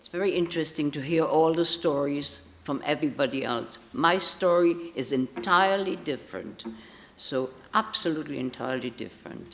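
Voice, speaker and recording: The speaker has a German accent, and noticeable background noise runs underneath. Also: woman, very deep, low pitch for a woman, ordinary pitch variation, moderate pace. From Palestine (Israel), born in Germany. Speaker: Holocaust survivor speaking to schools. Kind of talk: testimony. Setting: hall with audience of schoolchildren. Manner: halting.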